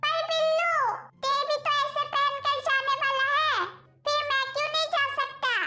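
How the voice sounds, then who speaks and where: At a moderate pace, a woman uses a squeaky put-on character voice of extremely high pitch, with very even loudness. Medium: fan dub. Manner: soft, pleading.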